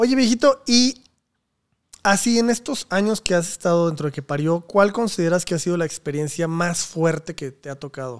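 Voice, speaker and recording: Against a quiet background, a man with a high pitch and lively intonation speaks at a moderate pace, leaving long, frequent pauses and swinging widely in loudness. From Mexico. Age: 30s. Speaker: podcast host and comedy channel producer; podcast host. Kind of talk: casual interview chat. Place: home room. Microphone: studio mic.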